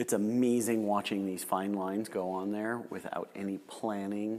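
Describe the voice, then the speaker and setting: A man with a fairly low pitch talks at a fairly slow pace. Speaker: gallery host interviewing a potter. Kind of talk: live demonstration commentary and interview. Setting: pottery gallery, live demonstration.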